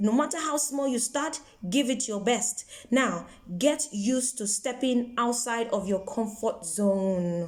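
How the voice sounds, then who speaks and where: Amid noticeable background noise, a woman speaks in a high pitch at a fairly slow pace. Her tone is animated and her intonation lively. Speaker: broadcaster and motivational vlogger. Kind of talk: motivational talk.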